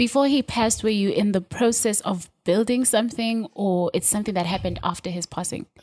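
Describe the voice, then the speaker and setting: Fairly high-pitched, somewhat breathy woman's voice, fairly quick with hardly any pauses, ordinary pitch variation and a quiet background. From South Africa. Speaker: podcast host. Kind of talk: casual interview chat. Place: studio. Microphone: studio mic.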